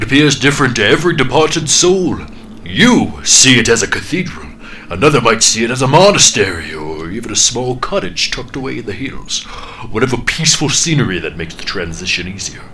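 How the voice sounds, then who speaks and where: In a booming, put-on character voice, a man of medium pitch talks fairly quickly with very wide pitch swings against clear background noise. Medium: read story. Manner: condescending, intimidating.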